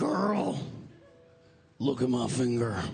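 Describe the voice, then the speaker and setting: This is a put-on character voice. It sounds hoarse and raspy. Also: man, medium pitch for a man. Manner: flamboyant, sassy.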